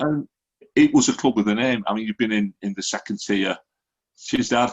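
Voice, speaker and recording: A man at a moderate pace with a Lancashire accent. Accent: Lancashire (Wigan) English. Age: 60s. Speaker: football fan podcaster. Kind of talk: casual chat.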